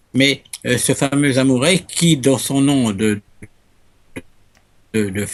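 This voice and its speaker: Very slowly, a man talks at medium pitch. His pitch variation is ordinary. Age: 70s. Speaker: ufo researcher and amateur astronomer. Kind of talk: interview testimony. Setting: Skype call. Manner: halting, many repetitions.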